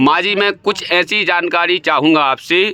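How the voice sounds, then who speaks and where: This man's voice is fairly high and has a bright, sharp tone, with ordinary pitch variation. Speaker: interviewer. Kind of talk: interview questions.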